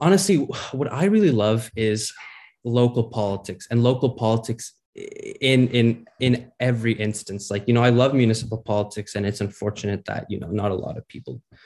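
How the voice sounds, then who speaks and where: In a Canadian accent, a man talks at a fairly quick pace in a normal speaking voice, medium in pitch with ordinary pitch variation. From Ontario, Canada. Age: young. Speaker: municipal election candidate. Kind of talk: interview.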